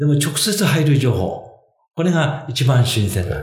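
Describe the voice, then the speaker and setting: A man's fairly high voice with vocal fry and very wide pitch swings, plus audible room echo. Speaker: financial consultant. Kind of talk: casual chat. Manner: halting with many fillers.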